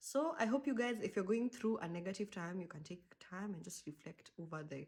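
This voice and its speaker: Somewhat breathy and at medium pitch, a woman speaks at a fairly quick pace with lively intonation. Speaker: podcast host. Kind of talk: casual chat. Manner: animated.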